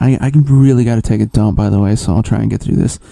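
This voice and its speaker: With fairly even intonation, a man speaks at a fairly quick pace as noticeable background noise plays behind him. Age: 30s. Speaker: comedy podcast host. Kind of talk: casual solo monologue. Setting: home recording in a closet.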